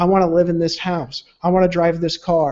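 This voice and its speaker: This man talks at a fairly quick pace with a high pitch and a dark, mellow tone. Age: 30s. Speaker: network marketing co-founder. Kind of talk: webinar presentation. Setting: live stream video hangout. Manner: fast.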